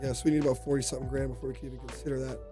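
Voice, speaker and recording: A man with music in the background. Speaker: gaming YouTuber. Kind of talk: gameplay commentary. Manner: casual, conversational.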